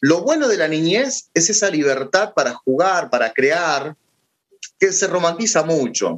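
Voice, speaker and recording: At a fairly slow pace, a man with a high pitch uses lively intonation and keeps his loudness very even. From Argentina. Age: 30s. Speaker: philosopher and teacher. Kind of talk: casual interview.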